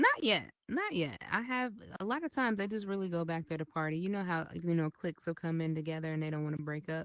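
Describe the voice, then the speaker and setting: Talking at a very fast pace with hardly any pauses, a woman with a fairly low pitch sounds animated, her intonation lively. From Chicago, US Midwest. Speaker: virtual club owner and metaverse creator. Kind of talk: casual podcast interview.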